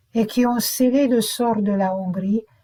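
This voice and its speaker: A woman with a Hungarian accent speaks at a very slow pace, her fairly high pitch somewhat breathy with a dark, mellow tone and ordinary pitch variation. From Romania, Hungarian minority (Partium region). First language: Hungarian (speaking French). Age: 70s. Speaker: memoir narrator. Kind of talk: autobiographical narration.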